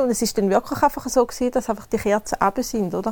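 This woman's voice sits fairly high in pitch and shows ordinary pitch variation. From eastern Switzerland, canton Thurgau. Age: 30s. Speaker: wedding planner. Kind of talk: casual interview chat.

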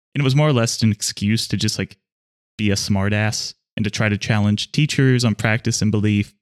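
A man's unremarkable speaking voice, fairly low in pitch with fairly even intonation and a fairly quick pace, in a dry, close sound with no echo on a very clean recording with a silent background. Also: very even loudness. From Pittsburgh, Pennsylvania. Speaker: podcast co-host. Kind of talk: casual political discussion.

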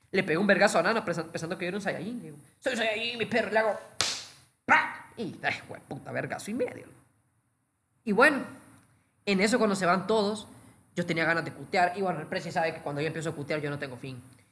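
In a room with audible echo, a man with a high, bright, sharp voice projects very fast with lively intonation, big swings in loudness and long, frequent pauses. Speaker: podcast co-host. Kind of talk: casual chat.

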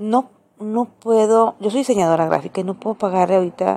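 A woman talks at a fairly quick pace with ordinary pitch variation. Her tone is dark and mellow. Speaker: podcaster and graphic designer. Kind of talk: casual monologue.

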